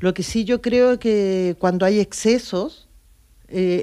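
A woman talks at a very slow pace in a dark, mellow tone. Her pitch is medium with ordinary variation, and the background is quiet. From Chile. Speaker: local politician. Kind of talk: casual interview. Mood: earnest, reflective. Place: studio. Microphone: studio mic.

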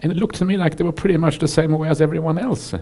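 A man talking at a very fast pace, somewhat breathy. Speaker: Buddhist monk teacher. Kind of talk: dharma talk to audience. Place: hall. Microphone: headset.

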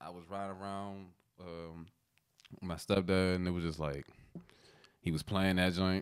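Against a quiet background, a man with an American accent speaks at a moderate pace with a very deep, low voice. His intonation is flat and monotone, broken by long, frequent pauses. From US Mid-Atlantic (DMV). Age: 20s. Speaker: rapper; guest. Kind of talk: casual chat. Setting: studio. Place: studio. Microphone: studio mic.

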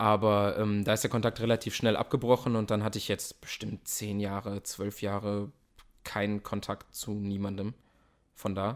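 The delivery is monotone and flat, at a moderate pace. This man's voice sits fairly low. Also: very clean recording, silent background. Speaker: actor. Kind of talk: interview. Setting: host's home.

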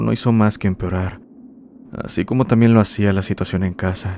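Flat and monotone, a man's fairly deep voice moves along at a middling speed. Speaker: horror story narrator. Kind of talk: ghost story telling, spooky first-person narration of listener tales. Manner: measured, eerie, ominous pacing.

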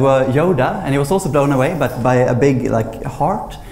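A man with a Swedish accent talks at a fairly quick pace with ordinary pitch variation. Audible room echo and light background noise can be heard. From Sweden. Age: 20s. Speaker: memory champion; speaker. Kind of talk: lecture. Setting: stage with audience. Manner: halting. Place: hall. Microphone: lapel.

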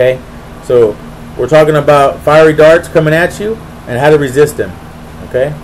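Amid light background noise, a man with a fairly high pitch and ordinary pitch variation talks at a fairly quick pace, with long, frequent pauses. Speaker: preacher. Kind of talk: Bible study teaching with prayer, sermon-style. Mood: earnest, devotional. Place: home room. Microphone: webcam.

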